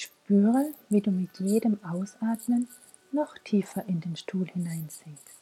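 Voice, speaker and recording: A woman at medium pitch and a very slow pace, somewhat breathy, with a gentle, warm tone and lively intonation. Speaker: podcast host and mental coach. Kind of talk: guided meditation (body scan). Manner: slow, calm, soothing, with long pauses; soft-spoken, gentle, warm.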